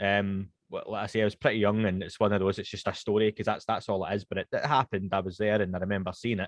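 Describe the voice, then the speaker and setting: Against a quiet background, a man with a Scottish accent speaks in a fairly low voice with monotone, flat intonation. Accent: Scottish, toned down to be slower and posher. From Scotland, Glasgow west end. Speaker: podcast host (guest here). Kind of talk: casual interview chat. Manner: fast when speaking Scots.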